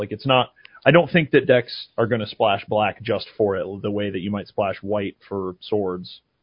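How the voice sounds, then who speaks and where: Speaking at a moderate pace in an unremarkable speaking voice, a man with a fairly low pitch shows ordinary pitch variation. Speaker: card game podcaster. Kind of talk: casual chat.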